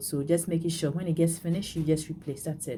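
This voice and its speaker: A woman speaks with a very deep, low pitch, a dark, mellow tone, and a somewhat breathy quality. Light background noise can be heard. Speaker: beading tutorial creator; bead craft instructor. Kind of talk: tutorial. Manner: halting, many fillers and repeats. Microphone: phone near.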